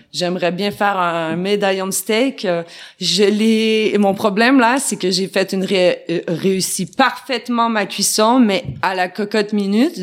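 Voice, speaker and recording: Very slowly, a woman speaks, her pitch varying in an ordinary way. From Quebec. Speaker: plant-based meat maker. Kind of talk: interview.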